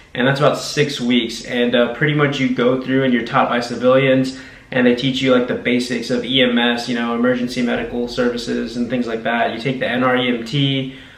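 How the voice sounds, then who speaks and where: A man with an American accent speaks at a fairly quick pace and a medium pitch, with audible room echo and noticeable background noise. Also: hardly any pauses. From Texas, Brownsville / South Padre Island. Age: 20s. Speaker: army combat medic. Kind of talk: interview. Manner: casual, with many fillers.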